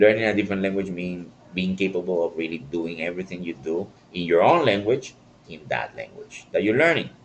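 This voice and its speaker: The man's voice sits at a very deep, low pitch. His loudness swings widely. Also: ordinary pitch variation, fairly quick pace. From Latin America. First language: Spanish. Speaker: online philosophy discussion host and language coach. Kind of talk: live stream monologue. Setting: live stream. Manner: halting.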